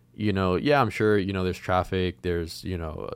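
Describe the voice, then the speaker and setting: Very fast speech from a man with a very deep, low pitch and fairly even intonation, on a very clean recording with a silent background. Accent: American. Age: 20s. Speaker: young entrepreneur and podcast co-host. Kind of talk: casual interview.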